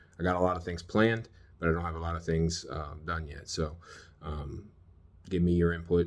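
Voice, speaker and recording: A man speaks at a moderate pace with an American accent. His pitch is very deep and low. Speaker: survival gear vlogger, military veteran. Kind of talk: casual gear tutorial. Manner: halting, many fillers.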